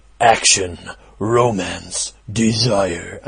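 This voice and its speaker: A man does a put-on character voice with fairly even intonation. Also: medium pitch for a man. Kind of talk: dramatic announcer delivery.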